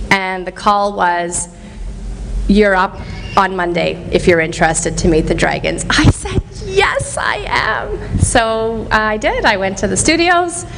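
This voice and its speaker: A woman with a Canadian accent at a fairly slow pace, with audible room echo and noticeable background noise. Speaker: motivational speaker. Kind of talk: motivational talk. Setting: stage with audience. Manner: animated, loud.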